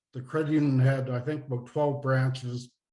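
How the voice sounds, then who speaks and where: A somewhat breathy man with an Eastern Canadian accent and fairly even intonation. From Nova Scotia, Canada. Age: 60s. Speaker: retired finance executive and author. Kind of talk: interview.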